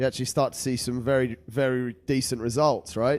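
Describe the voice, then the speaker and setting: A man talks in a plain, everyday voice. He speaks at a fairly quick pace. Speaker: podcast host. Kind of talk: podcast host talk.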